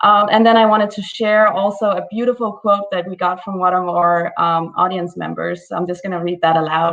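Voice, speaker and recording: At a moderate pace, the speaker uses ordinary pitch variation with a Danish accent. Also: woman. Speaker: festival project manager. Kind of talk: prepared thank-you message.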